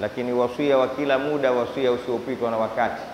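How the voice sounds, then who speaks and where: Light background noise and audible room echo accompany a man as he talks. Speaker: preacher. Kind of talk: sermon. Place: church. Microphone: handheld.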